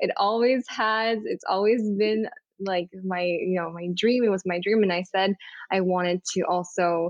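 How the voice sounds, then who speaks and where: A woman speaks in a normal speaking voice at a moderate pace. Her pitch is medium for a woman, and her intonation is fairly even. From Montreal, Quebec, Canada. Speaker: photographer and content creator. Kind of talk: casual interview. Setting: video call from busy New York City.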